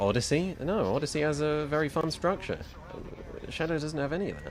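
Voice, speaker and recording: Music in the background behind a man speaking at a fairly high pitch and a fairly quick pace. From London, England. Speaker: video game streamer. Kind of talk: live stream chat while gaming. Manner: animated.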